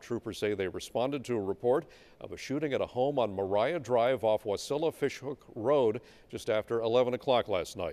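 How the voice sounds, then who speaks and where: Speaking at a fairly quick pace, a man uses a plain, everyday voice at medium pitch with ordinary pitch variation. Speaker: TV news anchor. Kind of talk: TV news anchor reading.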